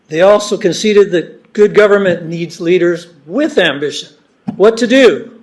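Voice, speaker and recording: Loud and at a moderate pace, a man talks with a high pitch and ordinary pitch variation. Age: old. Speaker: member of the public giving comment. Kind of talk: public comment at a meeting. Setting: public meeting hall. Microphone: not using the microphone, it is broken.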